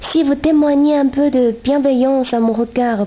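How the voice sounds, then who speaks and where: A woman speaks at a fairly slow pace with fairly even intonation. There is noticeable background noise. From China. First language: Chinese (speaking French). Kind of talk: reading aloud. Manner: halting, self-correcting.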